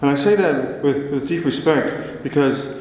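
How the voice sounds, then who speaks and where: Heard over noticeable background noise and audible room echo, a man speaks at a medium pitch with ordinary pitch variation. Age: 50s. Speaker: motivational speaker with Parkinson's. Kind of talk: conference talk. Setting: stage with audience.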